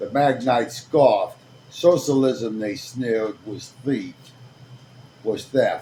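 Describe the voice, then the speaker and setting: A man with a dark, mellow, somewhat breathy tone talks at a very slow pace. He leaves long, frequent pauses, with big swings in loudness. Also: medium pitch for a man, fairly even intonation. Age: 50s. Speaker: video blogger. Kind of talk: casual commentary with story reading. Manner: halting.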